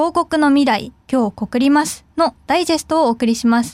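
The sound is dry and close with no echo as a woman speaks at a high pitch and moderate pace with ordinary pitch variation. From Fukuoka, Japan. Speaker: student radio host. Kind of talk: casual chat.

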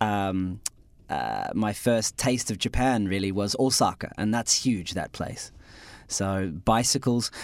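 A man with an Australian accent speaks very slowly in a fairly low voice, his intonation fairly even, on a very clean recording with a silent background. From Australia, Adelaide. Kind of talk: radio interview. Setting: radio studio. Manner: hesitant, with fillers.

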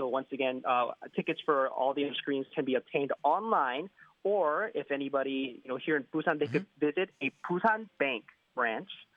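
This man has a plain, everyday voice with an American accent, a fairly high pitch, ordinary pitch variation and a moderate pace. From United States. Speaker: radio newscaster. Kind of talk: radio phone interview. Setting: phone call.

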